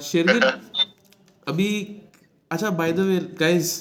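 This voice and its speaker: A man talks with a high pitch for a man. The room echo is audible. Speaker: podcast host, former defence cadet. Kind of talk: casual interview chat. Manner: animated, laughing often.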